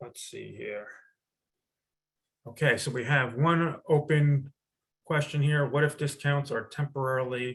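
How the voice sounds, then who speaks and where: Speaking at a fairly slow pace with long, frequent pauses, a man with a fairly high, somewhat breathy voice keeps his intonation fairly even while his loudness swings widely. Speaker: retail planning executive. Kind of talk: webinar product demo. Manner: halting, self-described stuttering; casual, conversational.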